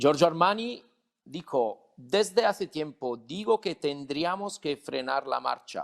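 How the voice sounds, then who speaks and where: A man with an Italian accent at a very slow pace, lively in intonation, in a dry, close sound with no echo. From Italy. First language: Italian (speaking Spanish). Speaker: lawyer, panel moderator. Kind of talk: panel moderation.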